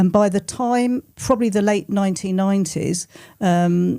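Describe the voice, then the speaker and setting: A dark, mellow tone at a moderate pace with ordinary pitch variation, in a very clean recording with a silent background. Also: woman. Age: 70s. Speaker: local politician. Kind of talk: panel interview. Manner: halting.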